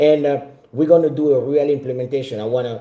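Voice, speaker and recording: At a moderate pace, a man talks in a medium pitch with a dark, mellow tone that is somewhat breathy. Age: 40s. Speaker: business mentor. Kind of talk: sales pitch.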